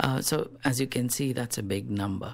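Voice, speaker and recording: Lively intonation carries this man's medium-pitched voice, spoken with a Telugu accent. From South India. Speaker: rationalist activist. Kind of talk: radio interview.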